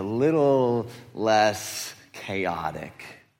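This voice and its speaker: With audible room echo, an animated man speaks in an American accent. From Detroit, US Midwest. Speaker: teaching pastor. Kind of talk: sermon. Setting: church with audience.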